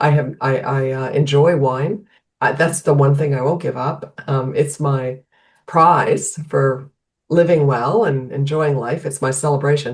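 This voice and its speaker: A woman with a very deep, low pitch speaks somewhat breathily at a fairly slow pace with fairly even intonation. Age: 60s. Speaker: health coach. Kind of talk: podcast interview. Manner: halting, many restarts.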